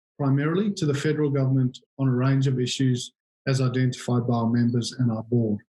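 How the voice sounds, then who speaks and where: Somewhat breathy and dark, mellow in tone, a man with a South African accent speaks at medium pitch and a fairly quick pace with fairly even intonation. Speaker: industry association chief executive. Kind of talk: interview. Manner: halting, frequent repetitions and fillers.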